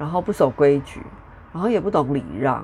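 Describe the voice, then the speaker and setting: Very deep, low pitch from a woman at a moderate pace, with very wide pitch swings. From Taiwan, Taichung. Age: 40s. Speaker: podcast host. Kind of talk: casual solo monologue. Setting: home recording with traffic noise in background.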